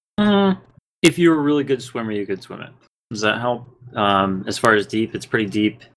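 A normal speaking voice with lively intonation, big swings in loudness, and a moderate pace. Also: man, medium pitch for a man. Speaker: podcast host and dungeon master. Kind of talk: tabletop role-play game narration.

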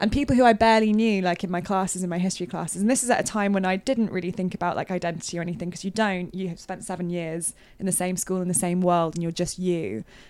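A woman with a British accent, medium pitch, ordinary pitch variation and a very fast pace, on a very clean recording with a silent background. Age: 20s. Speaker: games journalist. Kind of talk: casual chat. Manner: animated.

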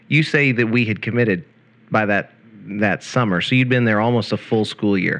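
A man with a plain, everyday voice, medium pitch, ordinary pitch variation, moderate pace and very even loudness. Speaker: radio host. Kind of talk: casual chat. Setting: RV.

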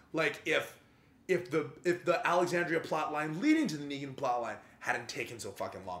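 The man's pitch is fairly high with ordinary variation, and he speaks at a moderate pace. His loudness swings a lot over noticeable background noise. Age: 30s. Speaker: podcast co-host. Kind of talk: casual chat.

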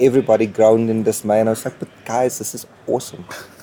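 Noticeable background noise fills the space as a man speaks fairly quickly. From South Africa, Port Elizabeth. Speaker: comic book artist. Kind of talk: interview. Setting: comics convention.

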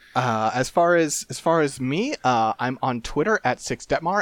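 With lively intonation and medium pitch, a man talks in an unremarkable speaking voice, the sound dry and close with no echo. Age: 30s. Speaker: podcast co-host. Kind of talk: casual chat.

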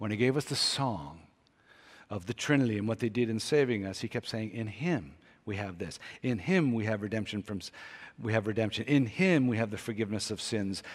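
A man's normal speaking voice, fairly low in pitch, with lively intonation on a very clean recording with a silent background. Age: 60s. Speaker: pastor. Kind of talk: sermon.

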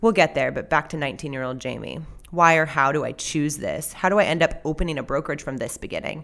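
A woman with an American accent speaks at a very fast pace in a very deep, low pitch with vocal fry and ordinary pitch variation. The recording is very clean, with a silent background. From Southern California. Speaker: podcast host and realtor. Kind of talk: personal storytelling monologue.

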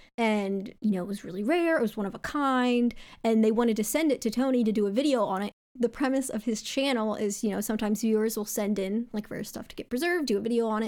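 A woman talks at a very fast pace with an American accent and a fairly high pitch. Her tone is animated, with ordinary pitch variation. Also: very clean recording, silent background. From US East Coast. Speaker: streamer. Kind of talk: casual chat.

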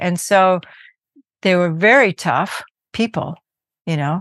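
A woman with a Californian accent, medium pitch, ordinary pitch variation and a fairly slow pace, in a dry, close sound with no echo over a quiet background. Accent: Californian American. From US West Coast, Berkeley California. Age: 70s. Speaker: Buddhist teacher and musician. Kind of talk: interview.

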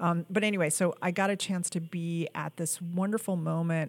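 A woman in an American accent, fairly slow and flat, monotone in intonation, on a very clean recording with a silent background. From New York. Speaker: film producer. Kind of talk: casual interview.

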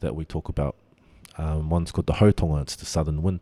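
A man speaks in a New Zealand accent with a very deep, low pitch and a dark, mellow tone. His intonation is fairly even, and the sound is dry and close with no echo. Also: very clean recording, silent background. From New Zealand, Auckland. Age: young. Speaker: winemaker. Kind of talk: interview. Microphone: slight echo.

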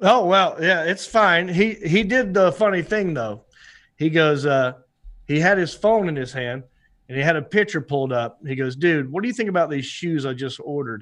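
In a North Carolina accent, a man with a high-pitched voice and lively intonation speaks at a moderate pace over a quiet background. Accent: North Carolina Southern. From US South, Hickory, North Carolina. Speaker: comedian and actor. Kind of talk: casual chat. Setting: studio, remote video call.

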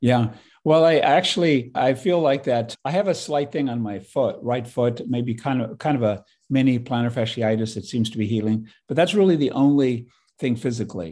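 A man speaks with ordinary pitch variation. His tone is dark and mellow. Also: medium pitch for a man, moderate pace, quiet background. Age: 60s. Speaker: naturopathic physician and activist. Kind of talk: interview conversation. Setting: video call.

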